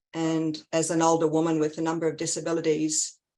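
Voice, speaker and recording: Speaking fairly slowly, a woman with a fairly low pitch talks in an Australian accent. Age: 60s. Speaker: community advocate. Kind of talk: testimony. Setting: video call.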